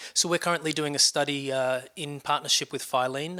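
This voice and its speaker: A man's fairly high-pitched, bright and sharp voice in an Australian accent, with ordinary pitch variation, on a very clean recording against a silent background. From Australia, Sydney. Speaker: nonprofit research director. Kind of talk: interview. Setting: conference event.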